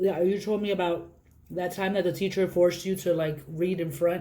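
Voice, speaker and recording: With an American accent and a dark, mellow tone, a woman speaks at a fairly quick pace. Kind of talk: casual interview of family member.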